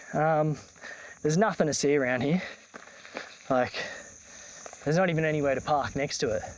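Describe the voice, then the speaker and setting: A man with an Australian accent talks at a fairly quick pace in a fairly high voice, with long, frequent pauses and very even loudness over noticeable background noise. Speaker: travel vlogger. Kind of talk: casual vlog narration. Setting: outdoors. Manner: casual with many fillers.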